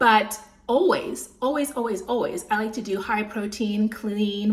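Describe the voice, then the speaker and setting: Noticeable background noise sits under a woman's voice. She sounds animated, with a fairly high pitch. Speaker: lifestyle vlogger. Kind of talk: casual talk to camera, food vlog. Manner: animated, chatty; slightly slurred speech.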